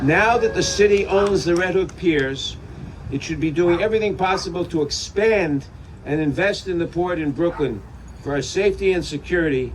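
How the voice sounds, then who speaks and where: A man talks at a moderate pace in a high pitch with ordinary pitch variation. Noticeable background noise runs underneath. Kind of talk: political speech at a rally.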